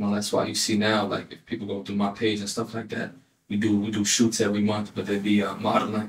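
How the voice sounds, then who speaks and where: A man with an American accent speaks at a very fast pace with monotone, flat intonation. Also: fairly low pitch for a man. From South Florida (born Elizabeth, New Jersey). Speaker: rapper. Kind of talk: casual interview. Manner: halting, repeats words.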